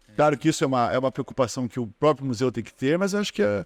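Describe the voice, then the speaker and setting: Speaking very fast with lively intonation, a man at medium pitch comes through on a very clean recording with a silent background and a dry, close sound without echo. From Brazil, Paraná (Ponta Grossa). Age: 60s. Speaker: geography professor. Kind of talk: casual interview chat. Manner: halting, many repetitions.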